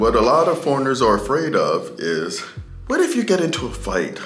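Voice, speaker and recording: A man is speaking. Music plays in the background. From United States. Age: middle-aged. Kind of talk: casual talk to camera.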